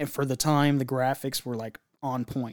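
Using a plain, everyday voice, this man keeps a medium pitch and fairly even intonation at a moderate pace. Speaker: podcast co-host. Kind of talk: casual banter.

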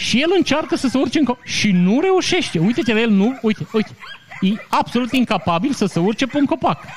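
Over noticeable background noise, a man speaks at an extremely high pitch in an animated tone, with very wide pitch swings and very even loudness. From Romania, Maramureș (Vișeu). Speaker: podcast host, commentator. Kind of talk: casual news commentary. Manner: animated, joking.

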